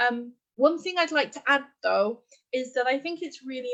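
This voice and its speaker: This woman has an English accent and speaks at a moderate pace. The background is quiet. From England. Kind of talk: live Q&A interview.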